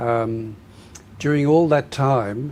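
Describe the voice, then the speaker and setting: A man with an Australian accent speaks very slowly with fairly even intonation. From southern Australia, dairy farm. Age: 80s+. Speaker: former priest, reconciliation worker. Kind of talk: interview.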